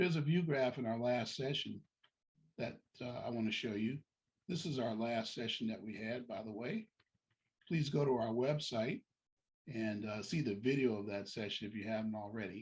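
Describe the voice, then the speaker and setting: A man with a medium-pitched voice speaks with ordinary pitch variation, leaving long, frequent pauses. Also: moderate pace. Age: 60s. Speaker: deacon giving college admissions advice. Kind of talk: informational talk to parents with slides.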